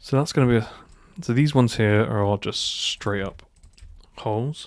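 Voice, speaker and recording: A man with an ordinary speaking voice at medium pitch, ordinary pitch variation and a moderate pace, in a very clean recording with a silent background. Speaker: 3D modelling tutor. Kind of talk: tutorial. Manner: casual, thinking aloud.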